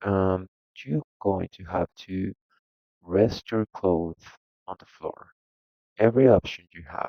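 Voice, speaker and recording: A man with a non-native accent speaks at a very slow pace in a very deep, low pitch, with ordinary pitch variation. Long, frequent pauses and big swings in loudness mark his speech. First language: not English. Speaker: video game tutorial creator. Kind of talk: tutorial. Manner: halting.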